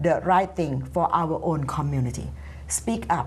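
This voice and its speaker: A woman with a Thai accent, lively intonation and a fairly slow pace, plus audible room echo. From Thailand. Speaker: community activist. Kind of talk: panel discussion. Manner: animated.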